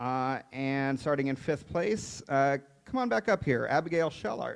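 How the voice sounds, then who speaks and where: Fairly slow and with ordinary pitch variation, a man speaks in an ordinary speaking voice, recorded very cleanly with a silent background. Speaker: awards ceremony emcee. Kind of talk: awards ceremony announcing. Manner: casual, upbeat.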